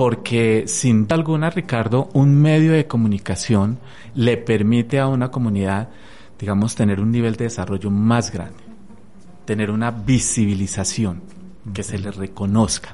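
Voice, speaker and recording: The man's pitch sits in the medium range with ordinary variation. He speaks at a fairly slow pace. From Colombia, Tolima (Armero). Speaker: radio presenter and communications lecturer. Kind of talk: radio interview. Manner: halting, many fillers.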